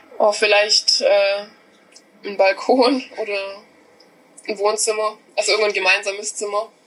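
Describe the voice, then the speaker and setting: A woman talks at a fairly slow pace with a medium pitch and flat, monotone intonation. Long pauses come often, and background noise is noticeable. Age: 20s. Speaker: hotel apprentice. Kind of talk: casual interview.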